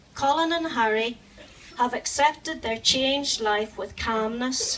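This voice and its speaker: A woman with a Northern Irish accent speaks at a fairly slow pace with ordinary pitch variation against noticeable background noise. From Northern Ireland. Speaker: animal charity volunteer. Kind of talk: charity speech.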